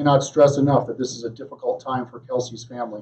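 A man talks at a fairly quick pace in a monotone, flat intonation. His voice is somewhat breathy, with light background noise. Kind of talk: press conference statement. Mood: serious, measured. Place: hall. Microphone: podium.

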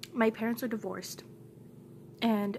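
Over light background noise, a woman talks at a fairly high pitch. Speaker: vlogger. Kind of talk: angry rant. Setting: home, recorded to camera. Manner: fired-up, emphatic, repeating lines for punch; blunt, heated, defiant. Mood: upset, venting frustration. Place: home room. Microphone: phone near.

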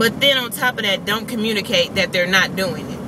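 A woman's voice with ordinary pitch variation comes through dry with no echo, over noticeable background noise. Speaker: vlogger. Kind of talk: casual vlog chat. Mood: annoyed, venting a gripe. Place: car. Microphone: phone near.

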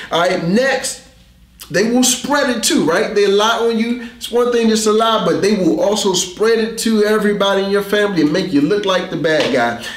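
A man's high-pitched voice comes with audible room echo. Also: ordinary pitch variation, moderate pace. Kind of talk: sermon. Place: studio.

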